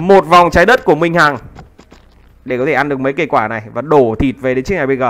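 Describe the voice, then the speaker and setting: Noticeable background noise sits under a man's fairly high-pitched voice. He talks at a fairly quick pace with ordinary pitch variation. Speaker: game commentator. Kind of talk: live commentary. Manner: fast.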